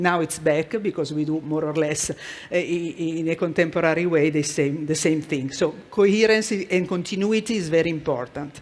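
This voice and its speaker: The pace is moderate. The speaker talks with an Italian accent. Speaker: corporate art and culture manager. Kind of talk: conference presentation. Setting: stage with audience. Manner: halting.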